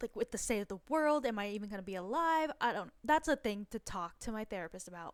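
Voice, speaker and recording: A woman speaks with a fairly high pitch and lively intonation. The sound is dry and close, with no echo. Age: 20s. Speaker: personal finance vlogger. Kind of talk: casual budgeting tutorial. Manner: casual, filler-heavy.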